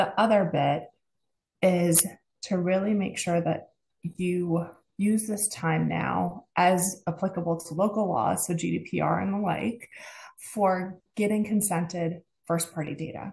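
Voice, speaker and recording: Vocal fry with fairly even intonation. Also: woman, fairly low pitch for a woman, fairly slow pace. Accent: American. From United States. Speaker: advertising partnerships executive. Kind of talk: podcast interview.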